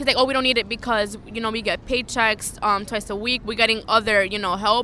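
At a fairly quick pace, a woman talks with a fairly high pitch, ordinary pitch variation and a bright, sharp tone.

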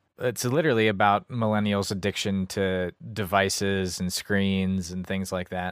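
In an unremarkable speaking voice, the speaker moves at a moderate pace with hardly any pauses and fairly even intonation, on a very clean recording with a silent background. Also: man, fairly low pitch for a man. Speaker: co-host. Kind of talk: casual comedic movie review chat.

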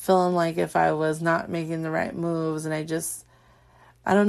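Against a quiet background, a woman with a fairly low pitch talks at a fairly quick pace in a flat monotone. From Southern California. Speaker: podcast host and small business owner. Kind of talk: casual monologue. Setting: home recording at night. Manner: louder than usual; filler-heavy.

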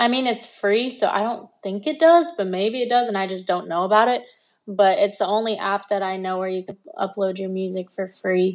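A woman with an American accent, medium pitch, ordinary pitch variation and a moderate pace against a quiet background. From Los Angeles, US. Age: 20s. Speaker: singer-songwriter and livestreamer. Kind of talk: interview.

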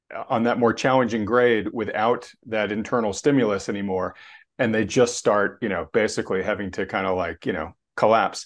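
Against a quiet background, a man with an unremarkable speaking voice talks at a moderate pace. His pitch variation is ordinary. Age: 50s. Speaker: finance channel host. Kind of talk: casual chat interview.

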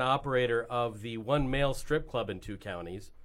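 A man with an American accent and an ordinary speaking voice, at a medium pitch with ordinary pitch variation. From New York. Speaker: musician and actor. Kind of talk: casual chat.

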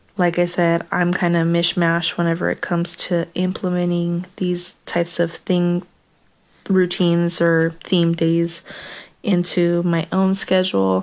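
A woman's fairly low-pitched voice, flat and monotone in intonation, at a fairly slow pace. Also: very even loudness. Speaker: podcast host. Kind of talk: casual monologue.

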